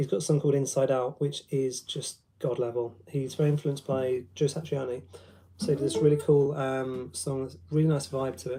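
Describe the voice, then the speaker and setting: In a London accent, a man speaks at a moderate pace with fairly even intonation, his fairly high voice somewhat breathy with a dark, mellow tone. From London, England. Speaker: guitarist and guitar teacher. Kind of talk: casual livestream chat with guitar demos. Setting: live stream. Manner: hesitant, many ums.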